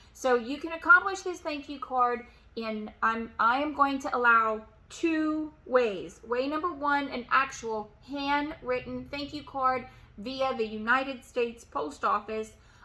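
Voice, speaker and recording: Against noticeable background noise, a woman speaks fairly slowly at a high pitch, with ordinary pitch variation and big swings in loudness. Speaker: real estate agent and sales coach. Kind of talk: motivational tutorial.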